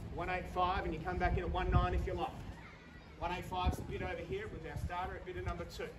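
Speech comes at a fairly quick pace. There is noticeable background noise. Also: man. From Australia. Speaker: auctioneer. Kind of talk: live auction bid calling. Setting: outdoors. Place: garden. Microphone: camera far.

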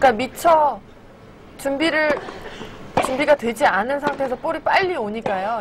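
Noticeable background noise sits behind a woman's voice. She speaks at a high pitch with lively intonation. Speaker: tennis analyst co-commentator. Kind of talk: live sports commentary analysis.

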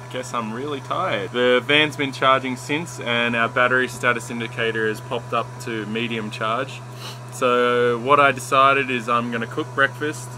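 Against noticeable background noise, a man keeps a monotone, flat intonation at a moderate pace. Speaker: van traveller vlogger. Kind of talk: casual vlog chat. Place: car. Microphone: phone near.

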